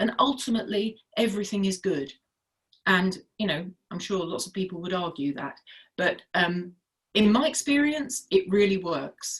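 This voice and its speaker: A woman speaks at medium pitch, somewhat breathy. Her pace is moderate and her intonation lively. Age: 60s. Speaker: health and wellness advocate. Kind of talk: casual chat.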